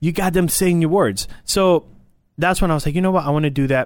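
A man with a Spanish accent on a very clean recording against a silent background. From Puerto Rico. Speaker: radio production staffer and military veteran. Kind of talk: casual interview chat. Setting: studio.

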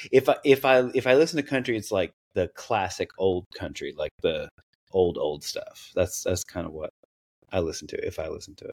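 A man with a Southern US accent, his loudness swinging widely. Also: moderate pace, dry, close sound with no echo. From East Tennessee. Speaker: content creator. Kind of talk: casual interview chat.

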